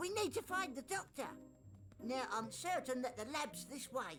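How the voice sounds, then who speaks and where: Over clear music, a high, playful, cartoonish character voice speaks at a moderate pace. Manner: chatty, playful with made-up words.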